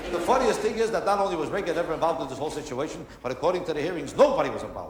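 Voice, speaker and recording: With an American accent, a high-pitched man talks at a very fast pace and with lively intonation over noticeable background noise. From United States. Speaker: stand-up comedian. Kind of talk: stand-up comedy performance.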